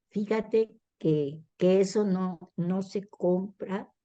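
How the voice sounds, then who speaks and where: Her tone is dark and mellow. The woman speaks at a medium pitch with ordinary pitch variation. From Mexico, southern Veracruz. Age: 70s. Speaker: retired doctor and novelist. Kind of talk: interview.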